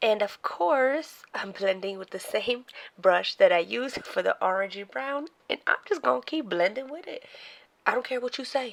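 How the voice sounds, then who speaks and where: At a moderate pace, a woman speaks at a high pitch with lively intonation and big swings in loudness. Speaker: beauty vlogger. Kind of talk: tutorial. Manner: casual, chatty.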